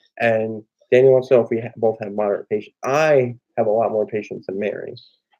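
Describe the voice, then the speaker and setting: A man talks at a very fast pace in a dark, mellow tone. His pitch is medium, with fairly even intonation. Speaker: family vlogger. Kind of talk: casual chat. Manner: rarely raises voice.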